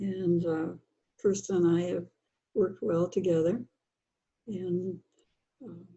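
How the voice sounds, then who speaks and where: A woman with an American accent, fairly low-pitched and somewhat breathy, very slow with long, frequent pauses, fairly even intonation and big swings in loudness. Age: 80s+. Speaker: children's book author. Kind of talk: interview.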